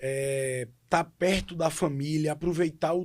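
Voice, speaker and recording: Intonation holds fairly even here. The delivery is an unremarkable speaking voice. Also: man. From Pesqueira, Pernambuco, Brazil. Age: 30s. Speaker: city councillor and lawyer. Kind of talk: podcast interview.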